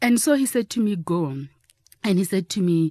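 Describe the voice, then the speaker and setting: Somewhat breathy, the voice has a dark, mellow tone and lively intonation. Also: woman, dry, close sound with no echo. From South Africa. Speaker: travel writer and former journalist. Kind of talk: casual interview. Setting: studio.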